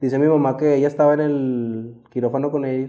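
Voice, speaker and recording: At a fairly quick pace, the speaker talks in a plain, everyday voice. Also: man. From Mexico, Saltillo, Coahuila. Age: 20s. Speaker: former cartel member. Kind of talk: testimony. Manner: casual, slangy.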